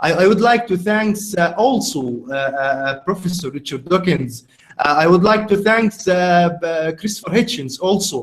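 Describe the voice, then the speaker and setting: A man with an Arabic accent, high-pitched, at a moderate pace with lively intonation. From Egypt, Cairo. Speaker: podcast host. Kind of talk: casual conversation. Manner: halting.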